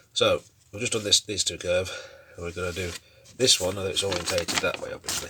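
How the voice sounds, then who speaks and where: Despite long, frequent pauses, a man speaks at a very fast pace over noticeable background noise. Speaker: model railway hobbyist vlogger. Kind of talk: casual build tutorial. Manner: casual, thinking aloud with fillers.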